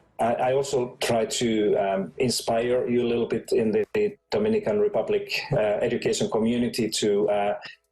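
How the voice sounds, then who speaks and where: A man with a Finnish accent, at a moderate pace, with very even loudness and hardly any pauses. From Finland. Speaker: education expert. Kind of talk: conference talk. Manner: halting, many fillers.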